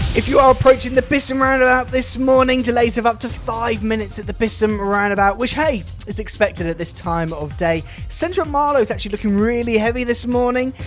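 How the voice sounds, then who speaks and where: Over music in the background, a man with an extremely high pitch talks at a very fast pace in an upbeat tone with ordinary pitch variation. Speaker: radio presenter. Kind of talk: local radio DJ links. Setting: studio.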